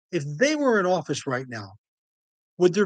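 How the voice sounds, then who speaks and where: A man speaks at a fairly quick pace. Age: 60s. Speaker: podcast host, ex-prisoner. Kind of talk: monologue commentary. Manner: animated.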